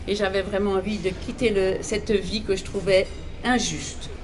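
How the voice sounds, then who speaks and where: With an Alsatian accent, a woman talks at medium pitch and a moderate pace. There is audible room echo and noticeable background noise. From Alsace, France. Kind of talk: testimony.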